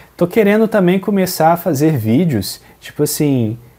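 His delivery moves along at a moderate clip. The man's tone is dark and mellow. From Brazil. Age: 20s. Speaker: gaming youtuber. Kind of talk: Q&A video, casual talk to camera. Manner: casual, conversational. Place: home room. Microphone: lapel.

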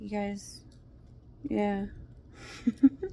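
A woman speaks over light background noise. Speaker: vlogger. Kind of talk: casual vlog chat. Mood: wry, sarcastic storytelling. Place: home room. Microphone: phone near.

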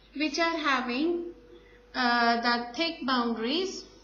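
A woman talks at a very slow pace with high pitch and ordinary pitch variation. Audible room echo and light background noise surround her. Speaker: school teacher. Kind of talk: lecture. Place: classroom. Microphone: lapel.

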